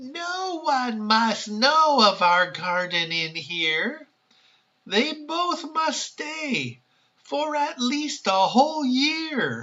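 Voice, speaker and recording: A put-on character voice from a man, extremely high in pitch and at a very slow pace. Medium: read story.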